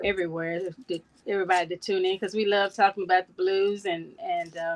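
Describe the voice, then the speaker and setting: In a slight Texas accent, a woman of medium pitch talks at a fairly quick pace with monotone, flat intonation and a dry, close sound with no echo. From Texas (Dallas-Fort Worth). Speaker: blues society president. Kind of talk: casual interview.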